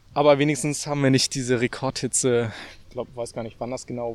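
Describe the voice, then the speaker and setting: On a very clean recording with a silent background and a dry, close sound with no echo, a man speaks at a medium pitch in monotone, flat intonation. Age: 20s. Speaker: meteorologist. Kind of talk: casual chat. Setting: outdoors in a park.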